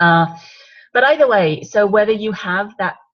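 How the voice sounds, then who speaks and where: With an English accent, a woman speaks at a moderate pace in a somewhat breathy voice with ordinary pitch variation. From England. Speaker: wine business consultant. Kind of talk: training webinar talk. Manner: conversational, with frequent fillers.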